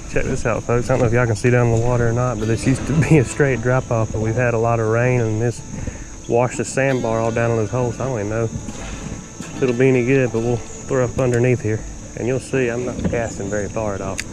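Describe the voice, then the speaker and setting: A very fast Southern US accent over background music. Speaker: fishing video creator. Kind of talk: casual outdoor tutorial. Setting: outdoors at a creek. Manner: soft-spoken.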